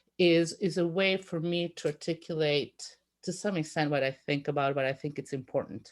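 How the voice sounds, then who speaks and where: Speaking at a moderate pace, a woman uses a fairly low pitch with ordinary variation on a very clean recording with a silent background. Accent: Italian. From Italy, rural conservative region. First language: Italian. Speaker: telecoms industry analyst and panelist. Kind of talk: panel discussion. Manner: halting, many fillers.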